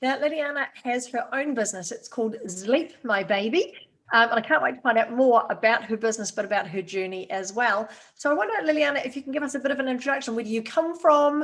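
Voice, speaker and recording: This woman speaks with a New Zealand accent at a fairly quick pace. Her pitch is fairly high, with ordinary variation. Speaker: podcast host. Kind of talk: interview.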